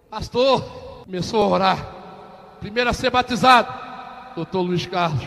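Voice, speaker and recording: A man's speech has a moderate speed and ordinary pitch variation, heard against noticeable background noise. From Rio de Janeiro, Baixada Fluminense. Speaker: pastor. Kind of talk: testimony. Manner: animated.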